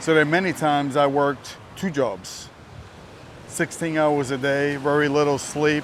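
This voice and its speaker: A man with a New Jersey accent talks at a moderate pace in a fairly high pitch. His intonation is fairly even and his loudness very even. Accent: New Jersey American. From US, New Jersey. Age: 60s. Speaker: vlogger. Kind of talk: casual vlog talk to camera. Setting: outdoors, walking.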